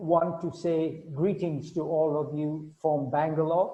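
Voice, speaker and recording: A very slow, monotone man's voice, fairly high in pitch, with flat intonation and audible room echo. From Malaysia. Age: 70s. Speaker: webinar speaker. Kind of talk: webinar talk. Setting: online webinar.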